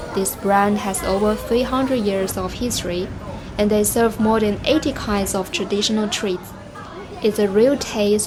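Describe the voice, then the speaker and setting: A woman talks at a moderate pace, her pitch medium and her intonation fairly even. Noticeable background noise runs beneath her. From China. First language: Chinese. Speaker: travel guide. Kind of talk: travel vlog narration.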